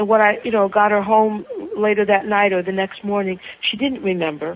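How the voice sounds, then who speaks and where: Noticeable background noise sits behind a woman speaking at a medium pitch. Her pace is fairly quick and her intonation fairly even. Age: 60s. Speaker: author and spiritual counselor, clergy. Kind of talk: interview conversation. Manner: halting, with repetitions.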